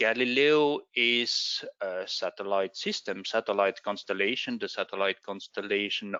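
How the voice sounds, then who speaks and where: A man is speaking. He has a non-native accent. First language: not English. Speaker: space agency expert. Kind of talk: presentation. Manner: halting.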